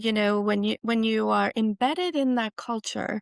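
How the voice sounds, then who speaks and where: A Swiss accent in a dry, close sound with no echo and a quiet background. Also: woman. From Switzerland. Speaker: university president. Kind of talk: interview. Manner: halting, many restarts.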